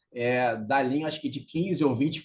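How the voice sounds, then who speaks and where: Intonation stays fairly even from this man. His pitch is fairly high. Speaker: CEO and author giving a talk on circular economy. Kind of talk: remote lecture. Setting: video call. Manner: fast; nonstop talking.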